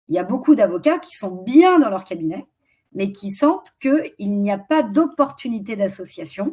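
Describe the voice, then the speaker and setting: A woman with a fairly high pitch speaks at a fairly slow pace in a somewhat breathy voice, with very wide pitch swings and big swings in loudness. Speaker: strategy consultant for lawyers. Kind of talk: webinar presentation. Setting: online webinar.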